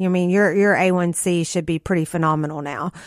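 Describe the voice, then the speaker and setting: A woman talks in a plain, everyday voice at a medium pitch with fairly even intonation. The recording is very clean, with a silent background. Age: 40s. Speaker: natural health podcast host. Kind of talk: health talk interview. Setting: radio studio.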